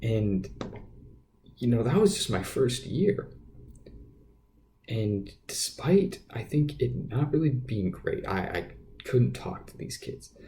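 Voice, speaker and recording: With a dark, mellow tone and vocal fry, a man of medium pitch speaks at a fairly slow pace with very wide pitch swings. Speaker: podcast host. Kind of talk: casual monologue. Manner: halting, many fillers and repeats.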